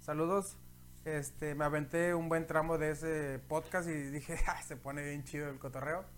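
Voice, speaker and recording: The man talks at a moderate pace in a fairly high pitch, his intonation monotone and flat. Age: 30s. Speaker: podcast host. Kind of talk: casual chat. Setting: home studio.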